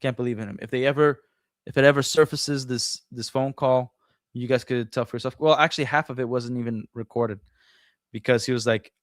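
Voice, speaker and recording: In a Portuguese accent, a man at medium pitch speaks at a fairly quick pace with fairly even intonation and big swings in loudness, captured in a dry, close sound with no echo on a very clean recording with a silent background. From Brazil. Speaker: former franchise store owner. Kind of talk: casual interview. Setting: live stream.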